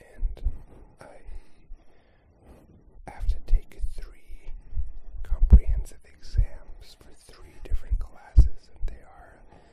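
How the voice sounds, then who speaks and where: A man whispers at a very slow pace, leaving long, frequent pauses. His loudness swings widely. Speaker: ASMR creator and graduate student. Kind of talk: ASMR whispered ramble, casual talk to camera. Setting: recorded with a portable recorder, binaural. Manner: whispered, soft-spoken.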